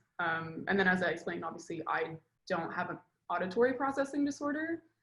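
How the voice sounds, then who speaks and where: A woman of medium pitch, very fast pace and very wide pitch swings. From Quebec, Montreal. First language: French. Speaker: film director. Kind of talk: interview. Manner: casual, hesitant with fillers.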